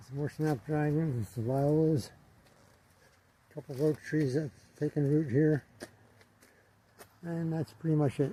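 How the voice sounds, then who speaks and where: A man with a fairly high pitch and a dark, mellow, somewhat breathy tone speaks at a moderate pace with fairly even intonation and long, frequent pauses. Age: 80s+. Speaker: gardener. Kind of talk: casual narration. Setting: greenhouse tunnel. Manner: halting.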